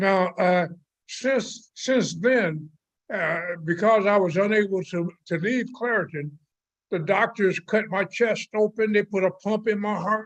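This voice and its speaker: This man has a high-pitched voice with ordinary pitch variation. He speaks at a fairly slow pace against a quiet background. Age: 80s+. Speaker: community member giving public comment. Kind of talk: public hearing testimony. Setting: video call. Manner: halting, many fillers.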